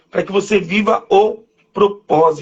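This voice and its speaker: An animated tone from a man at a fairly slow pace. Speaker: preacher. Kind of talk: sermon. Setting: live stream.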